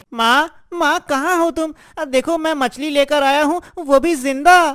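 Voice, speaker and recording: In a very clean recording with a silent background, a cartoonish character voice speaks at a high pitch and a fairly slow pace. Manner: earnest, naive.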